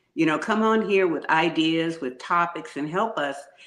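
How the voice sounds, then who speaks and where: There is audible room echo around a woman's voice. She speaks at a moderate pace with a fairly low pitch and ordinary pitch variation. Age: 60s. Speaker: podcast co-host and lupus patient. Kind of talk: personal testimony on a talk show. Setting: live-streamed show.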